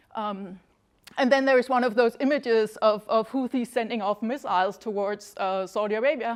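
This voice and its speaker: Fairly high in pitch, a woman speaks with fairly even intonation. Nothing much sounds behind her in the quiet background. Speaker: academic researcher, Yemen expert. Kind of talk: lecture. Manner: fast; halting, many fillers and restarts.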